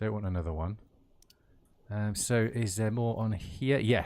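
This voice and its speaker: Someone with a West Midlands accent speaks at a fairly slow pace with ordinary pitch variation on a very clean recording with a silent background. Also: man. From West Midlands, England (Kidderminster). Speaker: gaming streamer. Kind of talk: casual gameplay livestream chat. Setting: livestream.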